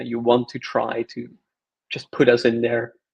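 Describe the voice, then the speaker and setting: A man speaks at a moderate pace with a Flemish accent. His voice sits at a medium pitch. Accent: Belgian (Flemish) English. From Belgium. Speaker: open-source software maintainer. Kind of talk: technical tutorial chat.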